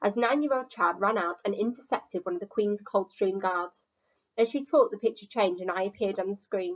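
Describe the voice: With lively intonation, the speaker does plain reading aloud against a quiet background.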